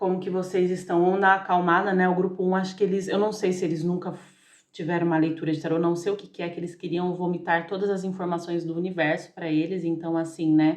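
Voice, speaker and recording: Fairly low in pitch, a woman talks at a very fast pace. She takes hardly any pauses. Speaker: tarot reader. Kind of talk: tarot reading monologue. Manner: animated.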